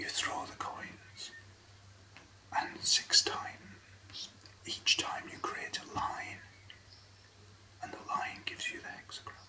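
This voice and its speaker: A whisper creeps along at a very slow pace, broken by long, frequent pauses, with noticeable background noise behind it. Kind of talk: ASMR whisper reading. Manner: whispered.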